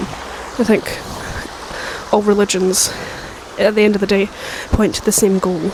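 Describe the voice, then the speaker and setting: Soft-spoken delivery at a moderate pace with long, frequent pauses and noticeable background noise. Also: woman. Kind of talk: casual ASMR talk to camera, rambling. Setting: outdoors by a river. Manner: soft-spoken, rambling.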